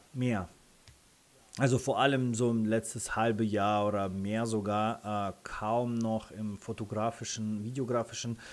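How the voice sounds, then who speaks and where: Monotone, flat intonation from a man with a Russian accent, at medium pitch and a fairly slow pace. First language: Russian (speaking German). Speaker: freelance photographer and content creator. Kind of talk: interview. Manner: hesitant with many fillers.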